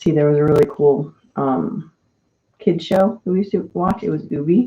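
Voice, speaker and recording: Soft-spoken and very deep in pitch, a woman talks in a dark, mellow tone with lively intonation at a moderate pace. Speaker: mental health live-stream host. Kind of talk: casual chat. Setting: live stream.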